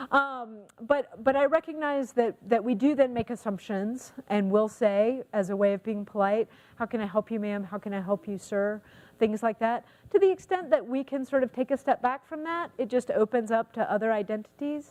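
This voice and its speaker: An ordinary speaking voice from a woman with an American accent, fairly high in pitch, with ordinary pitch variation at a moderate pace, dry and close with no echo. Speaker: counselor and social work trainer. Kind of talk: lecture.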